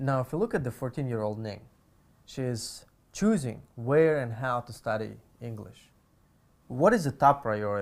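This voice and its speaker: With big swings in loudness and long, frequent pauses, a man speaks at a medium pitch. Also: ordinary pitch variation, moderate pace, very clean recording, silent background. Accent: non-native. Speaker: interviewer. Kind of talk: interview.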